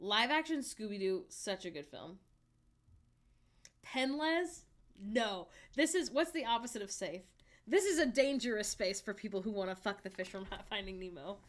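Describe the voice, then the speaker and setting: Speaking at a moderate pace in an American accent, a woman with a fairly high pitch sounds animated, her pitch swinging very widely and her loudness rising and falling sharply, with long, frequent pauses. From US South, Alabama. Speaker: streamer. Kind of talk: casual chat. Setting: live stream from home.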